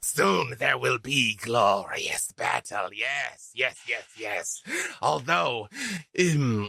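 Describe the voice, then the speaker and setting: Put-on character voice, delivered at a very slow pace. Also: man, medium pitch for a man. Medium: actual play. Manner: grandiose and smarmy.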